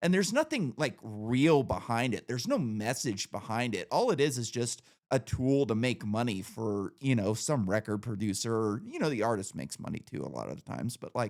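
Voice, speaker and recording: On a very clean recording with a silent background, a man with a plain, everyday voice talks at a fairly quick pace with hardly any pauses, keeping a medium pitch and ordinary pitch variation. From Northern California. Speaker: podcast host. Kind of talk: casual chat.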